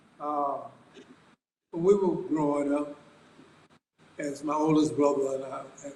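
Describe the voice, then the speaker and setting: Fairly slow, monotone speech from a man with a fairly high pitch, flat intonation and audible room echo. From US South, Athens, Georgia. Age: 70s. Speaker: subject of a biography. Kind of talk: interview.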